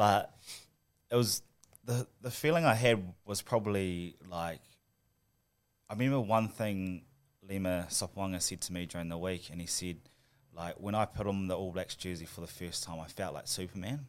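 Very deep, low male voice at a moderate pace with ordinary pitch variation and long, frequent pauses, on a very clean recording with a silent background. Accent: New Zealand. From New Zealand, Christchurch. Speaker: professional rugby player. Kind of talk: casual interview.

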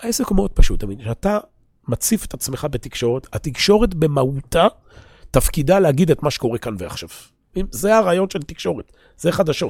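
A man speaks at a fairly quick pace in a fairly high pitch, with very wide pitch swings and vocal fry. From Israel. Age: 40s. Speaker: religious teacher. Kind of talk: lecture. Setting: classroom at an institute, recorded for viewers.

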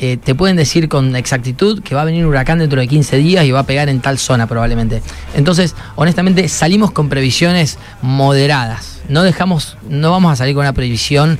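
A man's fairly high voice, very fast, with ordinary pitch variation and noticeable background noise. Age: 30s. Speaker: solo sailor. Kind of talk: casual interview. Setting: radio studio.

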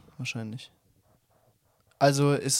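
A man's monotone, flat voice on a very clean recording with a silent background. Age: 20s. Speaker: podcast co-host. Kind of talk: casual chat.

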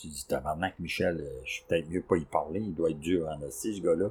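In a very deep, low voice with a dark, mellow tone, a man speaks at a moderate pace, somewhat breathy, with big swings in loudness. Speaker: podcast host, antique dealer. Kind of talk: casual chat.

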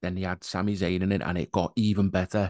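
This is a man with a plain, everyday voice, pitched fairly low and moving at a moderate pace. The sound is dry and close with no echo, and the background is quiet. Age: 30s. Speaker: podcast host. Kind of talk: casual chat.

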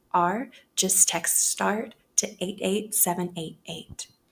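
A woman speaks in a plain, everyday voice, fairly low in pitch, with fairly even intonation. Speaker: podcast host. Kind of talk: casual chat.

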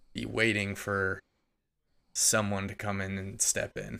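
Very slowly, a man speaks with a fairly low pitch and a bright, sharp tone. The recording is very clean with a silent background. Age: 20s. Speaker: advertising worker and hobby music producer. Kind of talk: casual chat. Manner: casual, heavy use of filler words.

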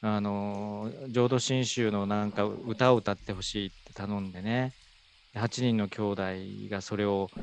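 This man's voice is fairly low with a monotone, flat intonation. He speaks at a fairly slow pace. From Fukuoka, Japan (Iizuka). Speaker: elderly care facility director. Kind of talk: conversational interview.

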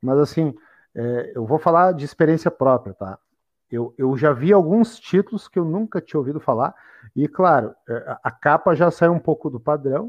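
Fairly high in pitch, a man talks at a moderate pace with lively intonation. He has an unremarkable speaking voice. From Porto Alegre, Brazil. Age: 30s. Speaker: podcast host. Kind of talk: casual chat.

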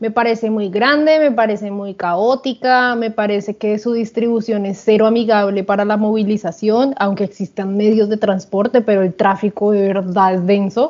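Speaking at a fairly slow pace, a woman uses a plain, everyday voice pitched fairly high. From Colombia. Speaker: podcast co-host. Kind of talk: casual chat.

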